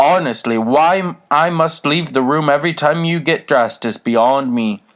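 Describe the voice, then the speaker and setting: A man does a put-on character voice. He keeps a moderate pace. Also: fairly high pitch for a man. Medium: read story. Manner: prim, scolding.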